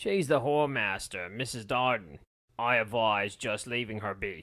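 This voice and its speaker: A man puts on a character voice that is shrill and gravelly, at a medium pitch and a moderate pace. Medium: read story. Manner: gruff, barking.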